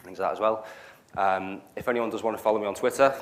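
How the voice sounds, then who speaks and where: A man is speaking here. He talks with a Liverpool accent. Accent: Liverpool (Scouse). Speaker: cloud solutions architect, meetup speaker. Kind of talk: technical talk. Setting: meetup venue with live audience. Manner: hesitant, many fillers.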